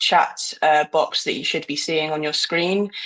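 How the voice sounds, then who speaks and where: A woman speaks at a moderate pace with a British accent. Her pitch is very deep and low, and her intonation stays monotone and flat. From Britain. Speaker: marketing director, webinar moderator. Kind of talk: webinar presentation.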